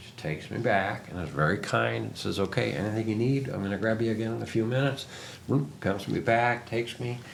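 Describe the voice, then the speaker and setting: Speaking very fast with big swings in loudness, a man with a fairly low pitch and ordinary pitch variation is heard in a room with audible echo. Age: 60s. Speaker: interviewer, media founder. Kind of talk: casual interview chat. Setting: sit-down interview.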